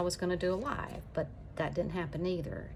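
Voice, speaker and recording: With an Alabama accent, a woman speaks at a moderate pace. Her voice has a fairly low pitch. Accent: Southern US (Alabama). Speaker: YouTuber. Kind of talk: casual chat.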